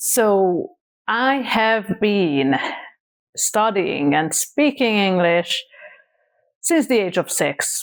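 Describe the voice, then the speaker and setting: A woman with a Hungarian accent speaks at a very slow pace and a medium pitch, with very wide pitch swings, very even loudness and long, frequent pauses. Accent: Hungarian accent, noticeable. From Hungary, small town. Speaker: content creator. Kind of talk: casual vlog talk.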